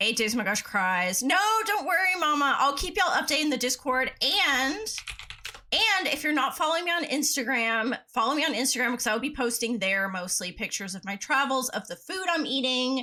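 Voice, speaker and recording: A woman with an American accent speaks in a raised, projected voice with high pitch and very wide pitch swings. Her pace is fairly quick, and there is noticeable background noise. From US South. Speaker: gaming streamer. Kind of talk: casual live-stream chat. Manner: animated.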